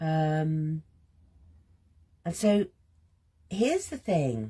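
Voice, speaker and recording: A woman speaks at a fairly low pitch with a dark, mellow tone. Her voice is somewhat breathy. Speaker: creative healing coach. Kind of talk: guided creative journaling session. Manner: soft-spoken, gentle; slow, halting.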